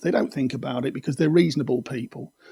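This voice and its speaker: Recorded dry and close with no echo, a man's somewhat breathy voice sits at a fairly high pitch with ordinary pitch variation. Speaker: video podcast host on controlling behaviour. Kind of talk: explanatory monologue.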